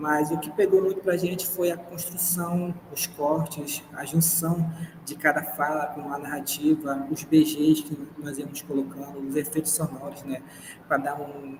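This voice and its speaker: Fairly high-pitched, this man talks at a fairly slow pace with fairly even intonation. There is noticeable background noise. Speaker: university student presenting a podcast project. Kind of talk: project presentation.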